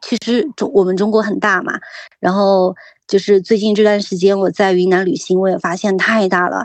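A woman's ordinary speaking voice at medium pitch, with fairly even intonation and a moderate pace. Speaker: tea producer. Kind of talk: casual interview.

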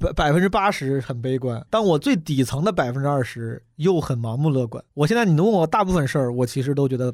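The recording is very clean with a silent background. A man speaks at a fairly high pitch. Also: lively intonation, fairly quick pace. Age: 30s. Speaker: stand-up comedian. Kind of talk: casual chat. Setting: studio. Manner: fast.

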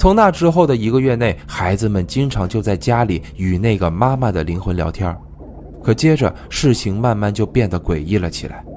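Over noticeable background noise, a man speaks at a moderate pace in a fairly low pitch with lively intonation. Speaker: true crime podcast host. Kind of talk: storytelling narration.

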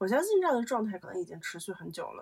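A woman's fairly high-pitched voice. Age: 20s. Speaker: podcaster. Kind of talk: solo casual monologue. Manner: rambling with frequent fillers.

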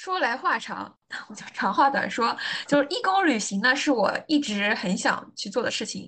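With lively intonation and big swings in loudness, a woman talks at a moderate pace in an ordinary speaking voice with a fairly high pitch. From Anhui, China. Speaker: logistics planner, former gap traveler. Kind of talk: interview conversation.

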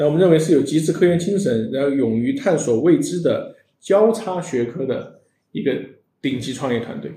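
In a room with audible echo, a man talks at a moderate pace with lively intonation and a fairly high, dark, mellow voice. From China, Sichuan. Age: 40s. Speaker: tech startup founder and CEO. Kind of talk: interview on a live-streamed show. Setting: live stream studio.

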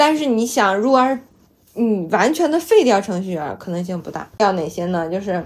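Loud and at a moderate pace, a woman with a medium pitch speaks in very wide pitch swings. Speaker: data platform programmer. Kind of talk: casual chat.

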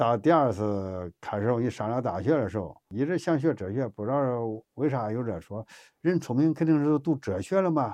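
In a Henan accent, the speaker moves at a moderate pace with lively intonation and a dark, mellow tone over a quiet background. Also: man, medium pitch for a man. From China, Henan. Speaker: laid-off factory worker turned driver. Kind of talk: casual chat.

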